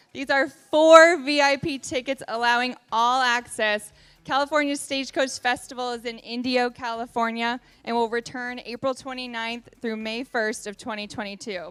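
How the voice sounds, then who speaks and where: With an enthusiastic tone and a high pitch, a woman talks at a moderate pace on a very clean recording with a silent background. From Virginia. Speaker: event emcee. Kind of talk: presenting auction item. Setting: gala dinner with live audience.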